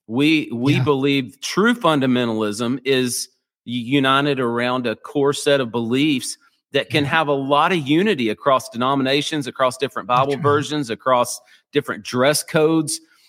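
A man with an American accent and an ordinary speaking voice talks at a moderate pace, with medium pitch and ordinary pitch variation. The very clean recording has a silent background and a dry, close sound with no echo. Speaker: pastor. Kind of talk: interview.

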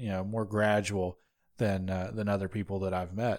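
A man talks with a Southern US accent. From North Georgia. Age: 20s. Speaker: podcast host. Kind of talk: casual chat.

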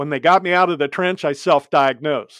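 A man speaks in a plain, everyday voice at a moderate pace, with ordinary pitch variation. The sound is dry and close with no echo, over a quiet background. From US Midwest (Ohio). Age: 60s. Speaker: safety speaker, former excavator and accident survivor. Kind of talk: testimony.

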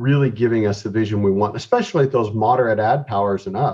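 A man's fairly quick speech has a dark, mellow tone and a somewhat breathy quality. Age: 40s. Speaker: eye doctor. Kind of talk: casual interview.

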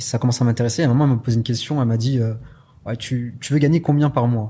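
A man's somewhat breathy, dark and mellow voice at medium pitch, very fast, with fairly even intonation. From southwest France (Pau). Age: 20s. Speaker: e-commerce entrepreneur. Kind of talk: interview.

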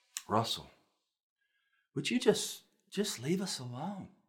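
Somewhat breathy, a man talks at a fairly slow pace with very wide pitch swings. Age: 40s. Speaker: pastor. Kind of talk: sermon.

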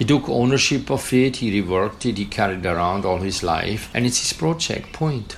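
Barely pausing, a man with a fairly low voice talks at a moderate pace with lively intonation over noticeable background noise. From Austria. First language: German. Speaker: conceptual artist and art professor. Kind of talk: interview soundbite.

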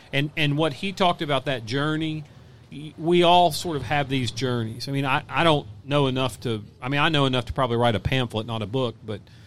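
A man with an ordinary speaking voice, medium pitch and ordinary pitch variation, at a fairly quick pace. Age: 50s. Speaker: hunting content creator. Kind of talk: casual chat. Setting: outdoors.

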